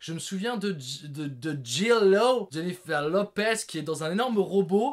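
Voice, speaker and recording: A man speaks in a high, animated voice. The recording is very clean with a silent background. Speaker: film reviewer, video creator. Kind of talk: casual monologue, top-list film review. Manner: animated, loud.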